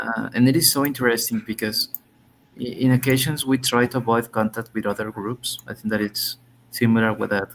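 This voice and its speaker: With a Spanish accent, a man speaks at a fairly quick pace in a medium pitch, his intonation fairly even. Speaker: English language student. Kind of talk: conversation lesson. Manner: halting.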